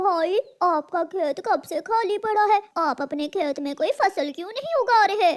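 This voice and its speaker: At a moderate pace, a cartoonish character voice squeaks along at an extremely high pitch. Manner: polite, earnest; soft, caring.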